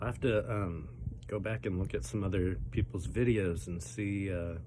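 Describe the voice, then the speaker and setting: Audible room echo surrounds a man speaking at a moderate pace, his very deep, low voice making very wide pitch swings. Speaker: pepper-eating challenge youtuber. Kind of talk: casual vlog commentary while eating. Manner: halting with many fillers.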